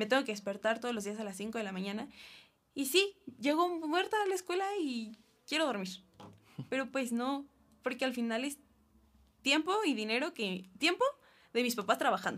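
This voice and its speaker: A woman speaks at a moderate pace in a high voice, her pitch swinging very widely, with long, frequent pauses. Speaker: university student. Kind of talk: casual chat. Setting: studio.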